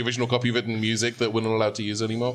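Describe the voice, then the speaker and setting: There is noticeable background noise behind a man speaking in a British accent. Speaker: role-playing podcast co-host. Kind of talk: live improvised role-play. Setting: stage with live audience. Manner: comic vaudevillian character voice.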